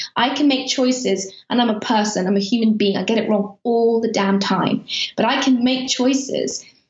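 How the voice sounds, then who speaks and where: Speaking in a British accent, a woman keeps a fairly high pitch, fairly even intonation, very even loudness and a moderate pace. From Afghanistan. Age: 30s. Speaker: journalist. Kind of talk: interview. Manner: halting.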